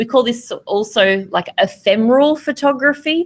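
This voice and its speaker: A woman with an Australian accent talks at a fairly slow pace with ordinary pitch variation, recorded very cleanly against a silent background. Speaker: photography teacher. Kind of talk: lecture. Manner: casual with frequent fillers.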